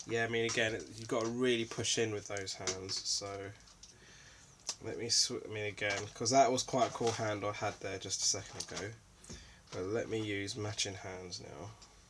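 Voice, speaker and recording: At a moderate pace, a man speaks in a calm tone. His fairly low voice is monotone and flat. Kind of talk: casual unboxing talk to camera. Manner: calm, low energy.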